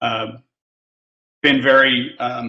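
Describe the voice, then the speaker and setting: He speaks with an American accent. The voice belongs to a man. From US Midwest, western Kansas. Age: 60s. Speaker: photographer. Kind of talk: casual chat.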